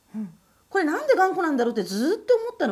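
A woman's voice with very wide pitch swings. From Japan. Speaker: Japanese language teacher, podcast co-host. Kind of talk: casual chat.

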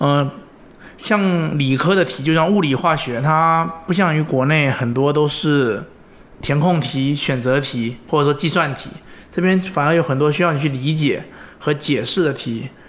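Here a man has an unremarkable speaking voice, pitched fairly high. He talks at a moderate pace with ordinary pitch variation. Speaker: former scholarship student, recent engineering graduate. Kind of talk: interview conversation. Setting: at home.

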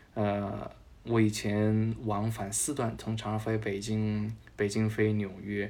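A man's very slow, monotone, flat delivery at a fairly low pitch, dark and mellow in tone, with a slight Changsha accent and audible room echo. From Changsha, Hunan, China. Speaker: journalist and musical theatre fan. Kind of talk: casual interview chat.

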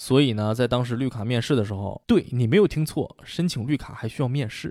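In a very clean recording with a silent background, a man of medium pitch talks very fast with ordinary pitch variation. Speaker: podcast host. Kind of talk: scripted monologue. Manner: animated.

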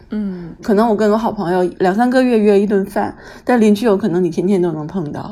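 Here a woman talks fairly quickly in a normal speaking voice. Her pitch is medium, with ordinary pitch variation. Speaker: writer and stay-at-home mother. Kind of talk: casual chat.

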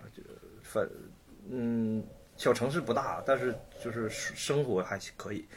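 A somewhat breathy man's voice at medium pitch, with ordinary pitch variation. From Shenyang, Liaoning, northeast China. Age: 30s. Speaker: painter. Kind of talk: casual chat.

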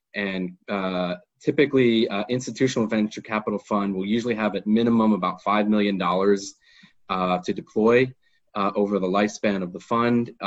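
A normal speaking voice with fairly even intonation and an American accent. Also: man, fairly low pitch for a man, moderate pace. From United States. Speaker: lawyer. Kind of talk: webinar talk. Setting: online webinar.

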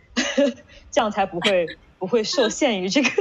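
Her voice is fairly high and somewhat breathy, and this woman's pitch swings very widely. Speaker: management consultant, interviewer. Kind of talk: casual interview conversation. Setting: online video call event.

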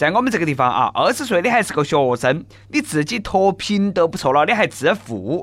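A man's high voice with a Sichuanese accent, fairly quick, with very wide pitch swings, on a very clean recording with a silent background. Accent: Nanchong Sichuanese dialect. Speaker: radio host. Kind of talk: comedic news talk show. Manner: animated.

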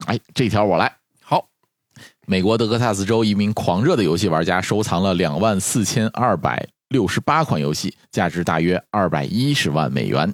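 An unremarkable speaking voice, a man's fairly low one, comes at a moderate pace with lively intonation and very even loudness in a dry, close sound with no echo. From Northeast China. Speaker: doctor. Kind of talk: casual chat.

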